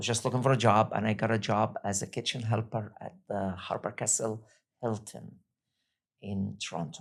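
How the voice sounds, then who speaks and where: There is vocal fry in this man's fairly low voice, and his intonation stays fairly even. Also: moderate pace. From Egypt. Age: 60s. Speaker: restaurant entrepreneur. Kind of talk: interview.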